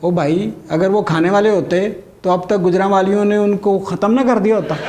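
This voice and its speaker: A man speaks with a high pitch. Noticeable background noise runs underneath. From Gujranwala, Pakistan. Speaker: stand-up comedian; doctor. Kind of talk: stand-up comedy routine.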